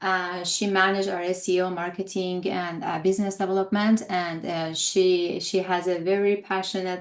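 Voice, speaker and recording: A woman speaks with monotone, flat intonation and hardly any pauses. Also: medium pitch for a woman, moderate pace. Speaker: holistic health coach. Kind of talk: webinar presentation. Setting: live stream webinar. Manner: hesitant, many fillers.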